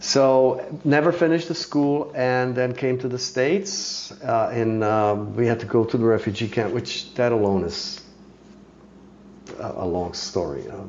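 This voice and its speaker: A man with a Czech accent, medium pitch, lively intonation and a fairly slow pace, with noticeable background noise and audible room echo. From Czechoslovakia. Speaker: master horse archer and bow maker. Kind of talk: podcast interview.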